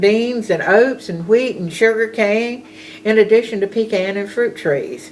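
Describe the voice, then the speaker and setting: A woman's fairly high voice in a Southern US accent, very slow pace, ordinary pitch variation, and noticeable background noise. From US South, rural Georgia (Bulloch County). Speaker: storyteller recounting her life. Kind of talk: personal reminiscence. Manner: casual.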